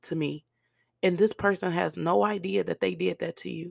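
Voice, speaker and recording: A woman with a fairly low voice and some vocal fry talks at a moderate pace in an animated tone, recorded very cleanly against a silent background with a dry, close sound and no echo. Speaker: podcast host. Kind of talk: casual monologue on faith and forgiveness. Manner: animated, conversational.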